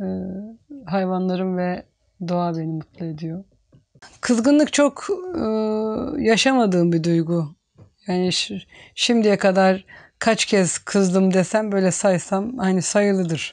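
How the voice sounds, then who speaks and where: A woman at a very slow pace, with long, frequent pauses, ordinary pitch variation and a quiet background. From Turkey, Çanakkale region; Turkey. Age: 50s. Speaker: village woman, farmer. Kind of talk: interview, life story. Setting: at home. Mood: calm, reflective. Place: home room. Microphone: lapel.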